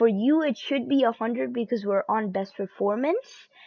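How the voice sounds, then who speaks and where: A woman speaks at a moderate pace in a high voice. Her pitch varies in an ordinary way. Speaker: youtuber giving pc tips. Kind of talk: tutorial. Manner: halting, many fillers.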